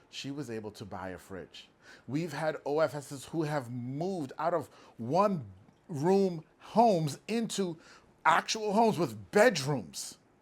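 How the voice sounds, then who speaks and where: A loud man speaks at a fairly slow pace in a fairly high voice. His tone is animated, with very wide pitch swings. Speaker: business owner. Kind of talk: motivational talk.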